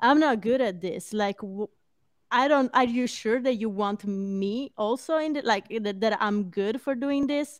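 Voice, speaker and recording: A woman with a non-native accent speaks at a fairly slow pace, fairly high in pitch with ordinary pitch variation. The sound is dry and close with no echo against a quiet background. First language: not English. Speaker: podcast co-host. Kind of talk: casual chat.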